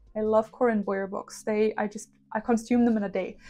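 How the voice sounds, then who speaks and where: A woman with a German accent speaks at a moderate pace and a fairly high pitch. Her intonation stays fairly even against a quiet background. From Germany. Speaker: witchcraft YouTuber. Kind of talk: casual vlog talk.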